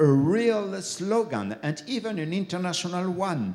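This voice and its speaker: A man with a French accent, at a very slow pace. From France. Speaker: bishop, keynote speaker. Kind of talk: keynote lecture. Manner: halting, with fillers.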